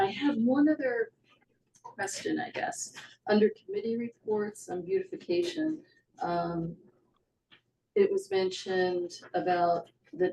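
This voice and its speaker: A woman speaks at a fairly high pitch with very wide pitch swings and a dark, mellow tone. Her voice is somewhat breathy, and she takes long, frequent pauses. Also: fairly slow pace. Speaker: select board chair. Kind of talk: town meeting. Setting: meeting room with Zoom. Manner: soft-spoken.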